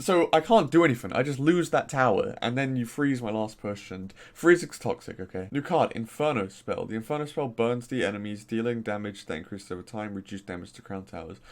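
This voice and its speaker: A man with a Norfolk accent at a fairly quick pace, lively intonation and big swings in loudness. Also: medium pitch for a man. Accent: faint Norfolk. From Norfolk, England. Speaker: gaming YouTuber. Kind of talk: casual commentary. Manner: animated.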